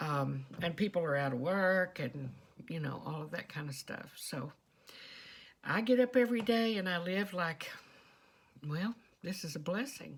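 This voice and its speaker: Lively intonation in a strong Texas accent, somewhat breathy, with long, frequent pauses. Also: woman, fairly low pitch for a woman. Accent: strong Texas southern drawl. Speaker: vlogger. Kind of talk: casual monologue. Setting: quiet storeroom at home.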